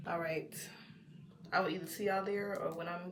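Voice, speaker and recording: Over noticeable background noise, a woman talks at a fairly low pitch. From Texas. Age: 20s. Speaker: lifestyle vlogger. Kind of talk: casual day-in-the-life talk to camera.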